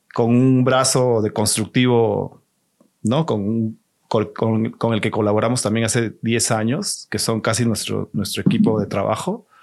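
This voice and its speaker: A man with a plain, everyday voice at medium pitch, fairly slow, with ordinary pitch variation, against a quiet background. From Peru, Lima. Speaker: exhibition designer. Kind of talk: casual interview.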